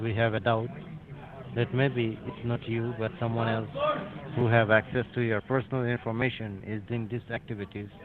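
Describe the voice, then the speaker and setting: Fairly even intonation carries the speech while music plays in the background. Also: man. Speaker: phone scammer posing as a government agent. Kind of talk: scam phone call. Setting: phone line.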